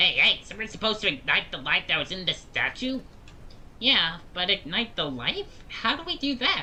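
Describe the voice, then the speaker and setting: Someone uses a put-on character voice with fairly high pitch at a moderate pace, with clear background noise behind it. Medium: game stream. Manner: excited, repetitive.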